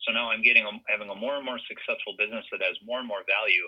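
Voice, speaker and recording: A man is speaking. He talks with an Upper Midwest accent. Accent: Upper Midwest American. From Minnesota (Brainerd). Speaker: financial advisor. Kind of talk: interview.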